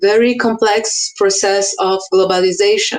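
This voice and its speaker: A woman speaks with a Portuguese accent. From Brazil, Amazonas state. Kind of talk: conference talk. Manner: halting.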